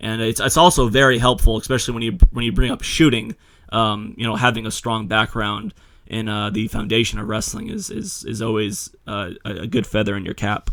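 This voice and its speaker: A man speaks at a fairly quick pace with medium pitch and ordinary pitch variation. It is a normal speaking voice. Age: young. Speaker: podcast host and wrestler. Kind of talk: interview.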